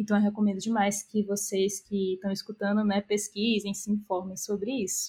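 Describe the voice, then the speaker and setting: A somewhat breathy woman's voice at a medium pitch, at a moderate pace. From Brazil, interior of Piauí. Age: 20s. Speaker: business analyst. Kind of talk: interview.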